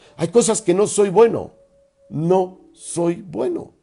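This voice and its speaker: A man's voice with music in the background. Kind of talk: religious radio talk.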